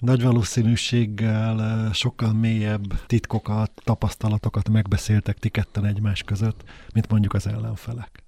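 Dry and close with no echo, a man's fairly low, dark, mellow and somewhat breathy voice moves at a moderate pace with monotone, flat intonation and hardly any pauses. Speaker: interviewer host. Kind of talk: interview. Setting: studio.

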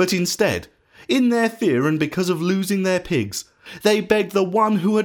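The passage is given as plain reading aloud, its pitch varying in an ordinary way.

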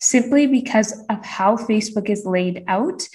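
On a very clean recording with a silent background, a woman speaks at a moderate pace in a fairly high, somewhat breathy voice. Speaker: business coach. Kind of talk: interview.

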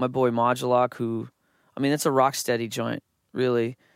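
A man with a Canadian accent and a plain, everyday voice, medium-pitched at a moderate pace, on a very clean recording with a silent background. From Canada. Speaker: music producer. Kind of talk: casual chat.

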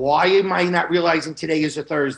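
An unremarkable speaking voice with an American accent, ordinary pitch variation and a moderate pace. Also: man. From New York. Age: 50s. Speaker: long COVID patient. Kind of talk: testimony.

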